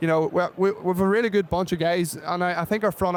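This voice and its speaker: A man's high-pitched voice with an Irish accent, at a fairly quick pace, with fairly even intonation. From Ireland. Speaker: football kicker. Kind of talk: casual chat.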